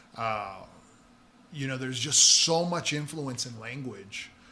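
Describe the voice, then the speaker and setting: A man speaks amid noticeable background noise. Audible room echo is present as well. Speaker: painter and muralist. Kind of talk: casual interview chat, Spanglish.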